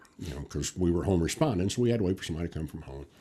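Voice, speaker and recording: A man's voice with a dark, mellow tone. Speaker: retired fire captain. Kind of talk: casual chat. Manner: loud.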